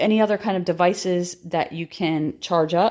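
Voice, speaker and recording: In a very clean recording with a silent background, a woman at medium pitch speaks at a fairly slow pace with ordinary pitch variation. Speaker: prepping YouTuber. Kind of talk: tutorial. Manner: hesitant, many fillers.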